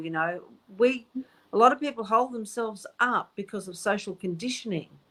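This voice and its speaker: A woman with a normal speaking voice, fairly quick, with ordinary pitch variation. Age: 60s. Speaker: psychic medium. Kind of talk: casual chat.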